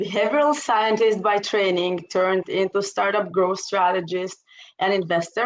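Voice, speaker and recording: A woman talks with an Israeli accent. Her pitch is medium and her pace moderate. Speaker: startup strategist and investor. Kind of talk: interview.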